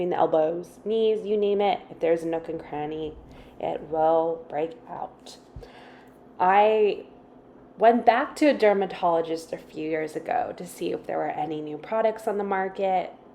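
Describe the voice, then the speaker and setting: A woman's medium-pitched voice, a normal speaking voice, with big swings in loudness, ordinary pitch variation and a moderate pace. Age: 20s. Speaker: beauty vlogger. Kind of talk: scripted narration.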